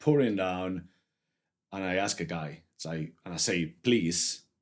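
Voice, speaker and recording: This man's voice is very deep and low, with a strong Spanish accent. The recording is very clean, with a silent background. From Spain. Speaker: photographer. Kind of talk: casual chat. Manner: halting.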